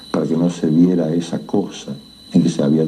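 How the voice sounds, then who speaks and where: A man's very deep, low voice with an Argentine accent amid noticeable background noise. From Argentina. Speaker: writer. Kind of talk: horror story narration.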